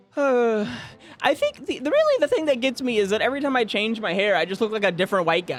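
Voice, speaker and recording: Mumbled speech with very wide pitch swings plays over noticeable background noise. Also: man. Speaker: gaming streamer. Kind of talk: casual chat. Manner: fast; mumbling.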